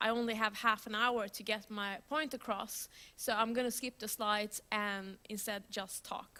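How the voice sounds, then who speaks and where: This woman talks at a moderate pace with hardly any pauses. Her fairly high voice has a bright, sharp tone. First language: Swedish. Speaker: software developer, conference speaker. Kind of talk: conference talk. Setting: stage with audience. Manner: loud; animated.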